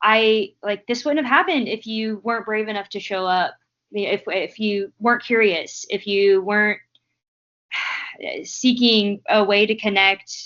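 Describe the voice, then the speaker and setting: A woman's fairly high voice, fairly slow, with ordinary pitch variation. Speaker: graduate student, podcast co-host. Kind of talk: casual chat. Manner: animated.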